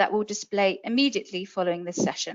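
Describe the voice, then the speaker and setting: In a British accent, a woman is talking. She moves at a fairly quick pace. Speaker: webinar host. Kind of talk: scripted webinar introduction. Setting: webinar.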